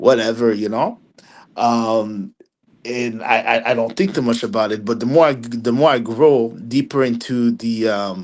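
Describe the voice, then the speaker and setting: With a Haitian accent, the speaker talks at a fairly slow pace with fairly even intonation. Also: man, medium pitch for a man. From Quebec, Montreal area, Haitian family. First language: French and Haitian Creole. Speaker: film critic. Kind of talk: podcast interview. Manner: halting, many repeated words; casual.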